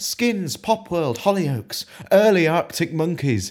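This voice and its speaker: Man at a fairly slow pace with very wide pitch swings. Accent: British. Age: 20s. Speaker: spoken word poet. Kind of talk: spoken word poetry performance.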